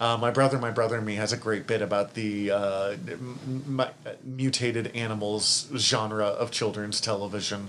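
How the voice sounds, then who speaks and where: A man with a plain, everyday voice talks at a moderate pace with hardly any pauses. His pitch sits in the medium range, and his intonation is fairly even. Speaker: podcast host. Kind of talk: casual chat.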